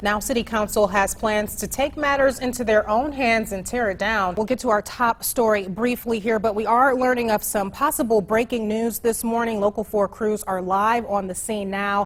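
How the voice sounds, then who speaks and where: Fairly high in pitch, a woman with an unremarkable speaking voice talks at a moderate pace with ordinary pitch variation. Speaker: TV news anchor and reporter. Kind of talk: TV news anchor read.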